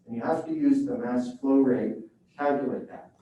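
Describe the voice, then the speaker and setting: In a room with audible echo, a man with a fairly high pitch speaks at a moderate pace with lively intonation. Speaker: professor. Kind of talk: lecture.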